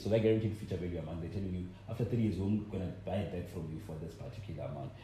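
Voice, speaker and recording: This man talks at a very fast pace, with hardly any pauses. His pitch is very deep and low. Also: ordinary pitch variation. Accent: South African. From South Africa, Limpopo. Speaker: podcast co-host. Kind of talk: casual chat.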